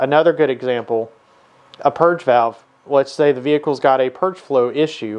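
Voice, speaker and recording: The man's pitch varies in an ordinary way as he speaks at a moderate pace. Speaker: automotive technician educator. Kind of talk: tutorial. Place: workshop.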